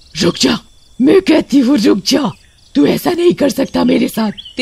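In a cartoonish character voice, a man speaks at an extremely high pitch. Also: moderate pace. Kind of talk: horror cartoon voice acting. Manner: taunting, menacing.

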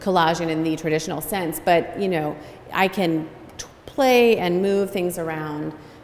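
In an ordinary speaking voice with an American accent, someone talks at a fairly slow pace with ordinary pitch variation over light background noise. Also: woman, fairly low pitch for a woman. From Cincinnati, Ohio; Ohio. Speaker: textile artist. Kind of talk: gallery talk interview. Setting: standing in gallery in front of artworks. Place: hall. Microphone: camera far.

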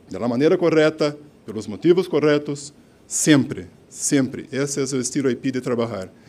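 A man with a Brazilian accent speaks at a moderate pace in a fairly high voice. His tone is dark and mellow, with ordinary pitch variation. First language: Portuguese (speaking Spanish). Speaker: company director accepting award. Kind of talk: acceptance speech. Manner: halting, mixing Portuguese and Spanish. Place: hall. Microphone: podium.

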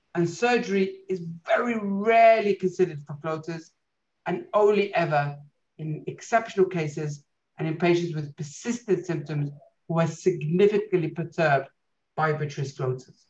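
A man with a British accent speaks in a high voice at a moderate pace, with ordinary pitch variation. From UK. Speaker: eye doctor; guest. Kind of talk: lecture.

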